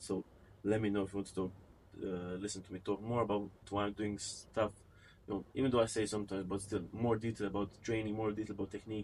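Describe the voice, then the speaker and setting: A man with a non-native accent, fairly low-pitched, talking very fast in a flat monotone. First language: not English. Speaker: fitness vlogger. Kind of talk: casual vlog talk to camera. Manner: unscripted, occasionally halting.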